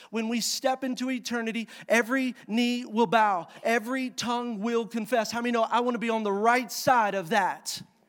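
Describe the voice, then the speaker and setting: A man speaks in an extremely high pitch and an energetic tone. He keeps a moderate pace with hardly any pauses. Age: 30s. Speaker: pastor. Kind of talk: Sunday sermon in a church; call-and-response preaching, urging the congregation to answer amen. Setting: church service with live congregation. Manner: energetic, rising preacher cadence, coaxing and exhorting the crowd; conversational asides mixed with emphatic scripture reading.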